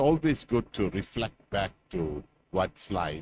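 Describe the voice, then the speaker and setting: Speaking at a fairly slow pace, a man talks. His pitch swings very widely. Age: 60s. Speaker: professor. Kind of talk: closing speech. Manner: hesitant, many filler words.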